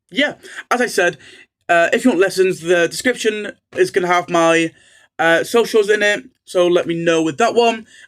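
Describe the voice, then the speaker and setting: Very clean recording, silent background, with a high-pitched man in a North Welsh accent, ordinary pitch variation, moderate pace, and long, frequent pauses. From North Wales. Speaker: Welsh language tutor. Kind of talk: casual channel introduction. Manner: hesitant with many fillers.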